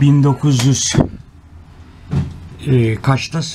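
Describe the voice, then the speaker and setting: Fairly even intonation with a southeastern Turkish accent, over noticeable background noise. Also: man. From Southeastern Turkey. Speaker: video blogger. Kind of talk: casual vlog narration. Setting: museum visit.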